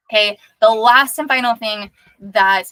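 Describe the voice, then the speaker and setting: A woman speaks in a bright, sharp, animated tone with ordinary pitch variation. The sound is dry and close, with no echo. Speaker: life coach. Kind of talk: recorded workshop talk. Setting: recording sent to inbox. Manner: fast.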